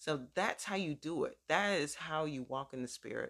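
A woman talks at a fairly slow pace with lively intonation. Her pitch is very deep and low. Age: 50s. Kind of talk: sermon-style teaching with personal testimony. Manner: conversational, informal.

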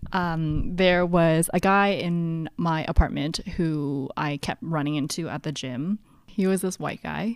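A woman's plain, everyday voice, fairly low in pitch and fairly even in intonation, at a fairly slow pace in a very clean recording over a silent background. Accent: Canadian. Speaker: podcast co-host. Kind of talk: casual chat. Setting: home basement, recording in person.

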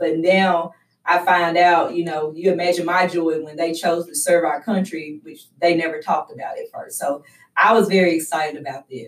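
A woman with a Southern US accent, fairly low pitch, fairly even intonation and a moderate pace. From West Tennessee. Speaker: youth program director. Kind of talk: interview.

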